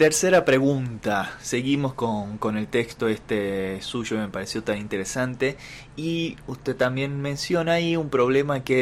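The man speaks at a fairly slow pace, at medium pitch with ordinary pitch variation. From Argentina, Salta. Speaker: channel host. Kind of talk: monologue introduction and interview questions.

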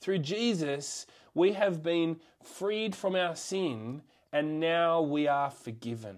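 In an Australian accent, a fairly high-pitched man speaks at a very slow pace with lively intonation. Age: 30s. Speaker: school chaplain. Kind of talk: sermon. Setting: video call.

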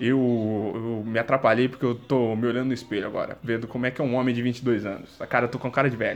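Music plays in the background as a man talks with a medium pitch. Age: 20s. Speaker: solo podcaster. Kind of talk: casual monologue. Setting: at home, sitting on the floor. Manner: animated.

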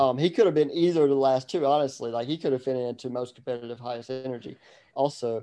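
A man with a medium pitch, a fast pace and fairly even intonation, his tone dark and mellow yet clear and smooth

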